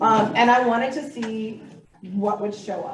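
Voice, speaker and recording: Amid noticeable background noise and audible room echo, a woman speaks fairly slowly at a fairly high pitch. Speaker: master naturalist graduate presenter. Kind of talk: presentation.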